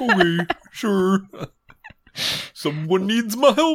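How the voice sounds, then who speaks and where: The put-on character voice sits at a middle pitch and moves at a very slow pace. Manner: good-natured, easygoing.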